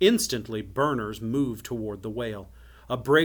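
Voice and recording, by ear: The pitch moves in an ordinary way as someone reads aloud in a natural voice.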